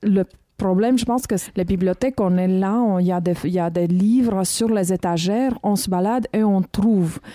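A woman with a Romanian accent speaks at medium pitch in a dark, mellow tone at very even loudness, on a very clean recording with a silent background. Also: ordinary pitch variation, moderate pace, dry, close sound with no echo. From Romania, Bucharest. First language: Romanian (speaking French). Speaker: documentary filmmaker. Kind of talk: casual chat. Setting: library room.

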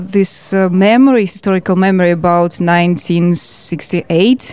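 A woman with a Russian accent and fairly even intonation, at a very slow pace. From Georgia. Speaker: filmmaker and political representative. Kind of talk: interview. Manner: halting.

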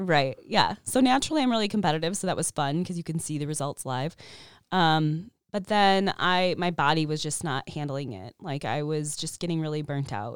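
With an American accent and lively intonation, a woman with a very deep, low voice talks at a moderate pace in a very clean recording with a silent background. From Chicago, US Midwest. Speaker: therapist and bodybuilder, podcast co-host. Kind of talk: casual interview chat. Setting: studio.

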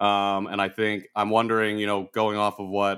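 A man with an American accent and a normal speaking voice, fairly low in pitch, at a moderate pace, in a very clean recording with a silent background. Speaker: podcast co-host. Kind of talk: casual interview conversation.

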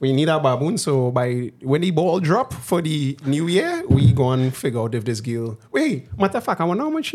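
With a Trinidadian accent, a man talks at a moderate pace in a medium pitch, his intonation lively over noticeable background noise. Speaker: podcast host. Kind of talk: casual chat.

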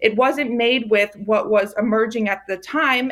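In an American accent, a woman with an ordinary speaking voice talks at a moderate pace, fairly high in pitch and with fairly even intonation, on a very clean recording with a silent background. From Maryland, US. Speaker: food company founder. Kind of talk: interview.

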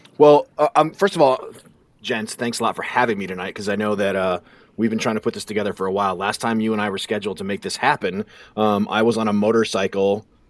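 A man's fairly low voice at a very fast pace, fairly even in intonation, with a dry, close sound, no echo, and a very clean recording with a silent background. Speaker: hunter. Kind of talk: casual chat.

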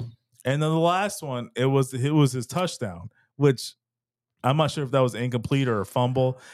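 A man with an American accent talks at a moderate pace and medium pitch, with ordinary pitch variation. It is an ordinary speaking voice on a very clean recording with a silent background. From Texas. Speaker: sports podcast co-host. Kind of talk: casual chat.

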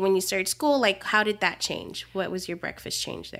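A bright, sharp tone in an American accent, on a very clean recording with a silent background. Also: woman.

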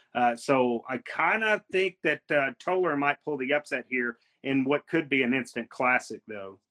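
A man with an ordinary speaking voice talks at a fairly slow pace with hardly any pauses, in a medium pitch with ordinary pitch variation. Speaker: co-host, sports analyst.

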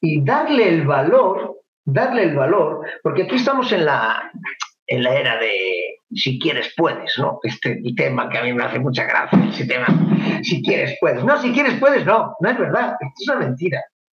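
Someone with a Galician accent talks at a moderate pace. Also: man. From Spain (Galicia). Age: 40s. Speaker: taekwondo instructor. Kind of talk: casual chat. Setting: video call.

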